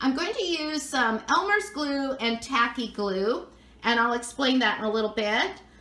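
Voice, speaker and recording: A woman in an American accent, high in pitch, with lively intonation at a moderate pace over noticeable background noise. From Southern California, near Anaheim. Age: 60s. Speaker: craft video creator. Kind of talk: tutorial; casual chat. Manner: chatty.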